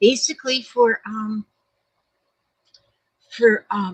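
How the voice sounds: A woman's fairly high voice, slightly husky at the edge, with ordinary pitch variation, a slow pace, and a dry, close sound with no echo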